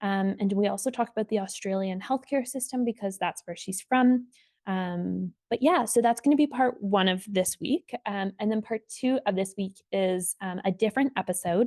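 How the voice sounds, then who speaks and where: A woman's medium-pitched voice with ordinary pitch variation and hardly any pauses, dry and close with no echo. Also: moderate pace. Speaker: podcast host. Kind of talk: solo podcast intro. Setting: home kitchen. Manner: halting, many fillers.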